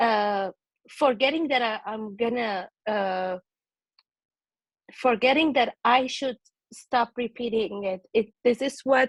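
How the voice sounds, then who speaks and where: Very slowly and with long, frequent pauses, a woman with a non-native accent speaks at a fairly high pitch with ordinary pitch variation, the sound dry and close with no echo. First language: not English. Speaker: book club participant. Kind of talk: group video call discussion. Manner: halting.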